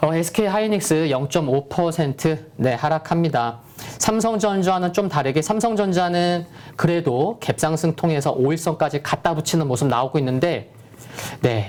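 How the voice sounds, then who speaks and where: Noticeable noise sits behind speech delivered at a moderate speed. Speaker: stock market analyst. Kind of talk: market commentary.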